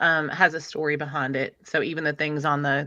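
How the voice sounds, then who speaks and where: Against a quiet background, a woman with a Middle Tennessee accent speaks at a moderate pace with a very deep, low pitch, a bright, sharp tone and monotone, flat intonation. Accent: Southern US (Middle Tennessee), fairly strong. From Middle Tennessee, US South. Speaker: livestream host. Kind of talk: casual live stream chat.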